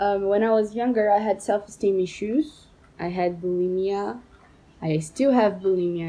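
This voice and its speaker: Her tone is dark and mellow at medium pitch. The woman talks at a moderate pace in a Portuguese accent. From Brazil. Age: 20s. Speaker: medical student. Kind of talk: personal monologue to camera. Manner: halting, with fillers.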